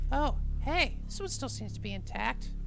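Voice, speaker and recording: A cartoonish character voice speaks at a moderate pace. Loud background noise runs underneath. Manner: smug, theatrical.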